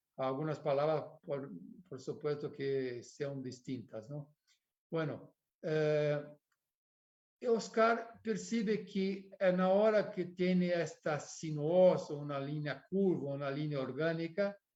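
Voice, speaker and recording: A man with a fairly high pitch speaks at a very slow pace. His pitch varies in an ordinary way, and the room echo is audible. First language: Portuguese (speaking Spanish). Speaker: architect. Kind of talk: lecture. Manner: halting.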